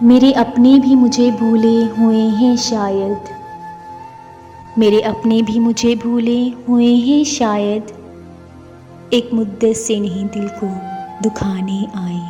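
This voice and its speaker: With music in the background, a woman speaks at a fairly high pitch with fairly even intonation. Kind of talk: poetry reading.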